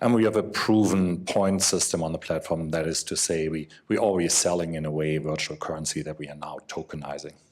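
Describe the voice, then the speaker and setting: Barely pausing, a man talks at a fairly quick pace in a very deep, low pitch with fairly even intonation. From Europe. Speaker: company representative, former attorney. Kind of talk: panel discussion.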